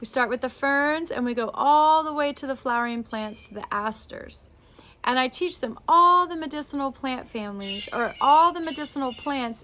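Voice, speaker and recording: A woman's animated, high-pitched voice with a bright, sharp tone, ordinary pitch variation and a moderate pace. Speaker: botanist and herbalism teacher. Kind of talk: tutorial.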